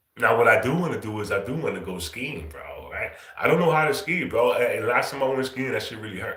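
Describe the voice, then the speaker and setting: A man speaks at a very fast pace. There is audible room echo and noticeable background noise. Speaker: livestream host. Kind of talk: casual chat. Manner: casual slangy.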